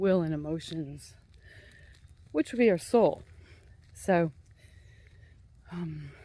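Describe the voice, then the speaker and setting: The speech moves at a very slow pace, broken by long, frequent pauses. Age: 60s. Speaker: mind-body therapist. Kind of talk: casual monologue vlog. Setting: outdoors on a walk. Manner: halting, hesitant.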